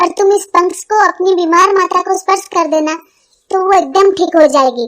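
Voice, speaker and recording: An extremely high-pitched, cartoonish character voice moves along at a fairly quick pace. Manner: insistent, slightly teasing.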